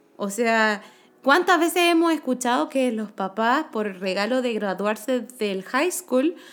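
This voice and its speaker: A woman's fairly high voice in a Chilean accent, captured in a very clean recording with a silent background. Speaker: podcast co-host. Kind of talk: casual chat.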